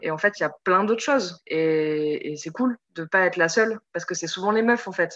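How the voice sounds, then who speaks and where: A woman's medium-pitched voice, a plain, everyday voice with ordinary pitch variation. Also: fairly quick pace. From Europe. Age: 30s. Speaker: podcast guest, listener. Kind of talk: casual chat. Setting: video call. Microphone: Zoom recording, poor sound.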